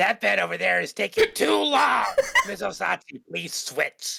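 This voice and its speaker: A man puts on a raspy character voice. The sound is dry and close, with no echo. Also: moderate pace. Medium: game stream. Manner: firm, businesslike.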